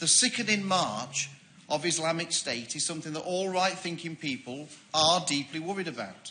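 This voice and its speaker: A man with a Yorkshire accent, high-pitched, at a moderate pace with lively intonation. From Yorkshire, northern England. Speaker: member of parliament. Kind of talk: parliamentary debate speech. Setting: parliament debating chamber.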